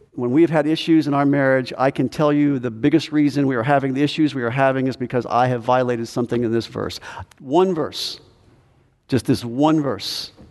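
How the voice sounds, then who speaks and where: The pace is fairly quick, with fairly even intonation. It is a plain, everyday voice. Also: man, medium pitch for a man. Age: 60s. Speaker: pastor. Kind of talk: sermon. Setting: church.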